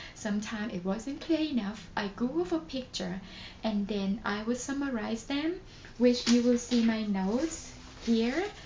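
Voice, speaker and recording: The speaker uses a Thai accent and lively intonation at a fairly slow pace. Background noise is noticeable. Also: woman. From Thailand. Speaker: nurse. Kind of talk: casual talk to camera.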